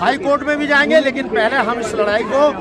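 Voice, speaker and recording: A man speaks with ordinary pitch variation, his voice carrying audible room echo over crowd noise in the background. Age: 70s. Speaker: farmer leader. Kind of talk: media interview; speech at a rally.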